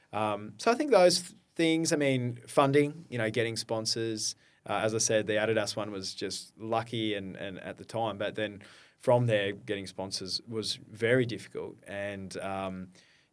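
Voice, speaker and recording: Heard on a very clean recording with a silent background, a man with an Australian accent speaks at medium pitch and moderate pace, with ordinary pitch variation and big swings in loudness. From Australia, Brisbane. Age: 40s. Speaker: founder of a community running organisation. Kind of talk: podcast interview.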